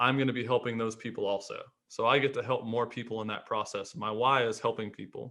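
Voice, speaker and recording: With an unremarkable speaking voice, a man talks at a fairly quick pace in a medium pitch, keeping his intonation fairly even. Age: 30s. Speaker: rehab doctor and clinic owner. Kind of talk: podcast interview.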